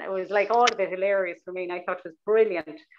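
Through noticeable background noise, a woman with a Cork accent speaks at medium pitch. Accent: Irish (Cork). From Ireland, Cork City; Ireland. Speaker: novelist; interviewee. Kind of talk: interview with reading aloud. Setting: video call. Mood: warm, animated. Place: home room. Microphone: earbuds.

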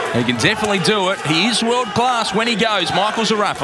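Over loud background noise, a high-pitched man speaks in a raised, projected, animated voice at a fairly quick pace, the sound dry with no echo. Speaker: boxing commentator. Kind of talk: live ring commentary. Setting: arena with crowd. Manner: fast, animated play-by-play.

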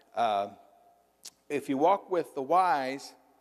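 A man with a slight Southern US accent, a fairly high pitch and ordinary pitch variation, over a quiet background. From US South, Missouri Boot Heel / western Kentucky area; US South. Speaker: pastor. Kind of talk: sermon. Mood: humorous, anecdotal. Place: church. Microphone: lapel.

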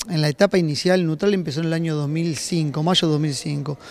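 Recorded as a dry sound with no echo, a man speaks at a high pitch. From Uruguay. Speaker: company general manager. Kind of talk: interview. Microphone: handheld.

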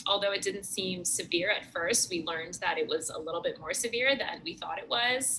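Light background noise runs under a woman's voice. She talks at a fairly quick pace with ordinary pitch variation. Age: 20s. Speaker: patient. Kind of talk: testimony. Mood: warm, grateful. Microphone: webcam.

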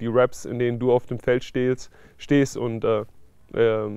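A man's dark, mellow tone with monotone, flat intonation against a quiet background. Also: dry sound with no echo. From Stuttgart, Germany. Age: 20s. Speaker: American football player. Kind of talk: interview answer. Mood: calm, thoughtful. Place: garden.

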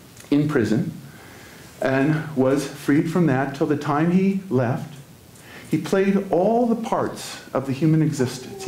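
The man's pace is fairly slow. Audible room echo surrounds his voice. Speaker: spiritual teacher. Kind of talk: sermon. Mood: warm, storytelling. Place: church.

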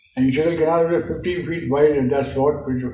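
A man with a fairly high pitch talks at a fairly quick pace with ordinary pitch variation. There is audible room echo and light background noise. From India. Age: 80s+. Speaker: war veteran. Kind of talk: interview answer. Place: home room. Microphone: camera far.

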